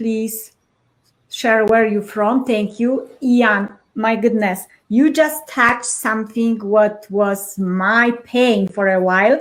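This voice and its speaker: A woman speaks at a very slow pace with a Polish accent. Her pitch is fairly high and her intonation fairly even. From Poland. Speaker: live show host. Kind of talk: live interview. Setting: livestream. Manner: halting.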